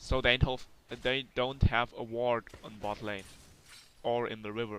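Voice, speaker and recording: A man at a medium pitch with a non-native accent, monotone, flat intonation, big swings in loudness and a fairly slow pace. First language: not English. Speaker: gaming commentator. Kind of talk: gameplay commentary. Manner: hesitant, many fillers.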